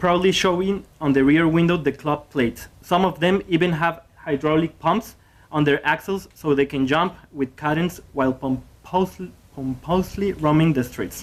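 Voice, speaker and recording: The speaker has a Spanish accent and talks at a moderate pace. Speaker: graduate student presenter. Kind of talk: conference presentation. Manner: halting.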